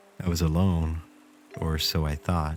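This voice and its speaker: A calm man speaks in a very deep, low voice with monotone, flat intonation while music plays in the background. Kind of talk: horror story narration. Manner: calm, smooth, sleep-inducing.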